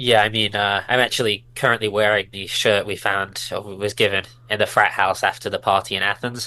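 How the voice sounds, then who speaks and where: Over a quiet background, a man with a British accent speaks fairly quickly in a fairly low pitch with monotone, flat intonation. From Britain. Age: 20s. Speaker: professional cyclist. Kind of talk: casual chat.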